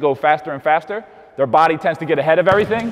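His pitch shifts in an ordinary manner. The speaker is a man. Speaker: basketball coach. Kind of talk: tutorial. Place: gym.

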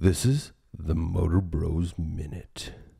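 Using a put-on character voice, a man speaks at a very deep, low pitch. His delivery is dramatic in tone and fairly slow. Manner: dramatic, announcer-like.

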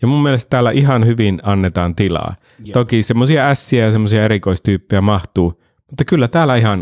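Against a quiet background, a man with a medium-pitched voice talks at a fairly quick pace with ordinary pitch variation. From Finland. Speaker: podcast host and actor; podcast host, actor. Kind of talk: casual chat. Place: studio. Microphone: studio mic.

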